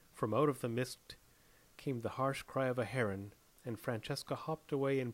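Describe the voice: Plain reading aloud fills the clip.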